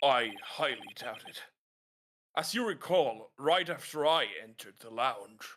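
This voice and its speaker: In a put-on character voice, a man speaks fairly high and fairly slowly, his pitch swinging very widely. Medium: game stream. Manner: stammering, defensive.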